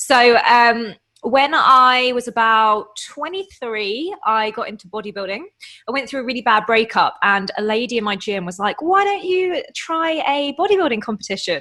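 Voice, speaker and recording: A woman with an English accent speaks at a moderate pace in a bright, sharp tone, her high pitch moving in very wide swings. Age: 30s. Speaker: online fitness coach and bodybuilder. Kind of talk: casual interview chat.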